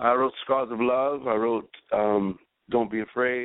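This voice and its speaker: Fairly even intonation carries a man's speech. He keeps a moderate pace. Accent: New York. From New York, Spanish Harlem. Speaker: freestyle singer and songwriter. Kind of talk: radio interview.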